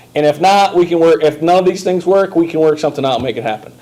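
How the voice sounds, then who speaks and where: The speech moves at a very fast pace with noticeable background noise. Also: man. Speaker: sixth grade math teacher. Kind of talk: tutorial. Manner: casual, hesitant with many ums.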